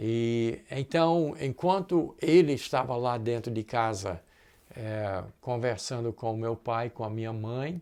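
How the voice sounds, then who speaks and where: Very slowly, a man speaks at a medium pitch with a dark, mellow tone and ordinary pitch variation. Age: 70s. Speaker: pastor. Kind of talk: sermon. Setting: recorded online church service.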